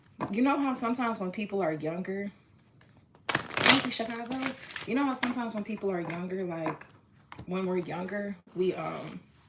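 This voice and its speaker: Noticeable background noise sits behind a woman speaking at medium pitch. She talks at a fairly quick pace but leaves long, frequent pauses. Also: ordinary pitch variation. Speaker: tarot reader. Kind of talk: live-stream tarot reading. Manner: casual, halting with restarts.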